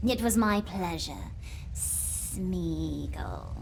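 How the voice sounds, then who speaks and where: A put-on character voice against clear background noise. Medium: video game. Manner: wry, archaic, amused.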